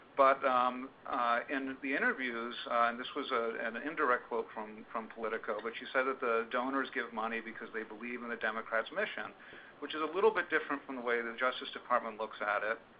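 Over noticeable background noise, a man talks at a fairly quick pace with hardly any pauses, his medium pitch held in fairly even intonation. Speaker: journalist, editorial director. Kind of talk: webinar presentation. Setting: conference call webinar.

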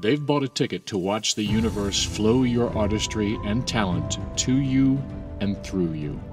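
A man with an American accent, fairly low pitch and lively intonation at a moderate pace, music in the background. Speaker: Broadway actor. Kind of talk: casual talk to camera, advice tips.

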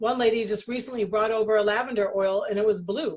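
A woman's fairly high voice, with ordinary pitch variation, comes through over a quiet background. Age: 50s. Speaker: essential oils distributor and channel host; channel host. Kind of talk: casual monologue to viewers. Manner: halting with frequent fillers. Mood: enthusiastic, convinced. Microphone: video call.

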